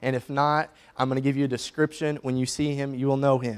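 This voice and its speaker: A man speaks fairly quickly at a fairly high pitch, his intonation monotone and flat. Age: 20s. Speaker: preacher. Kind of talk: sermon. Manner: casual, joking. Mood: humorous, relaxed. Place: church.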